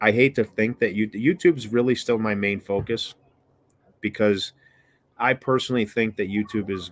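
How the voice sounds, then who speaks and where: The speaker is a man with an American accent. He uses a fairly low pitch and a moderate pace. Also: very clean recording, silent background. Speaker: BBQ and cooking YouTuber. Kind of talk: casual livestream chat. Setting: outdoors on porch, livestream. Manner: monotone.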